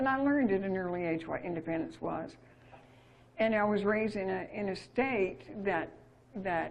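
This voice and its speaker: In an American accent, a woman with a medium-pitched voice speaks at a moderate pace with lively intonation and long, frequent pauses, amid audible room echo. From Utah. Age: 70s. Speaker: speaker on money and sovereignty. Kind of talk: casual chat. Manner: animated.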